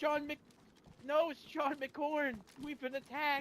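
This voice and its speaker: Using a strained, put-on character voice, a man speaks at an extremely high pitch, very slowly and in a flat monotone. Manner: put-on, strained as if under stress.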